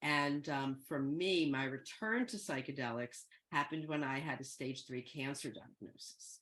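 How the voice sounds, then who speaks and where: Speaking with an American accent at a fairly slow pace, a woman has a very deep, low pitch and ordinary pitch variation. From US Northeast, Philadelphia. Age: 60s. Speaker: guest speaker, psychedelics educator. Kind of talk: talk to an online group. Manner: conversational, with many fillers.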